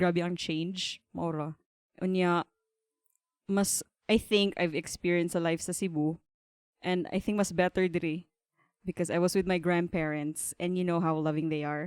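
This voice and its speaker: A woman speaks in a normal speaking voice, fairly low in pitch, with fairly even intonation and a fairly slow pace. The recording is very clean with a silent background and a dry, close sound with no echo. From Philippines, Davao (Mindanao). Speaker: embroidery business owner. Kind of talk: podcast interview.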